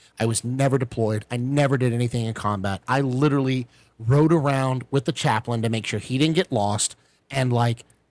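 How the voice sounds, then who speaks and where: A man with an unremarkable speaking voice talks at a medium pitch and a fairly quick pace, with fairly even intonation. The very clean recording has a silent background and a dry, close sound with no echo. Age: 30s. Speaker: military veteran podcast host. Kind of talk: casual chat.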